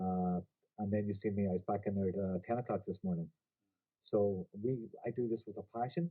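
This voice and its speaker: At a fairly quick pace but with long, frequent pauses, a man speaks in a Donegal accent at a fairly low pitch with ordinary pitch variation. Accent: Donegal Irish. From Ireland, Donegal. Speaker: company executive presenting a business opportunity. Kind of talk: business presentation. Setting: video presentation by a beach. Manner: animated.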